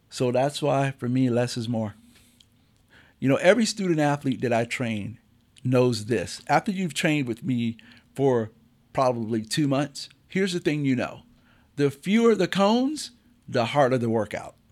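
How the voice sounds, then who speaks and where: On a very clean recording with a silent background, a man talks at a moderate pace and medium pitch. His intonation is lively, broken by long, frequent pauses. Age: 50s. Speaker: athletic coach and podcast host. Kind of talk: casual chat. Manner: animated.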